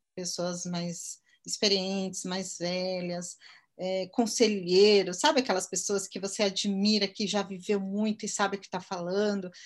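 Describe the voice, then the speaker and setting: Over a very clean recording with a silent background, a woman uses a normal speaking voice. Her pitch is medium and her pace fairly slow. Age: 50s. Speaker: marketing entrepreneur. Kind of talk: interview.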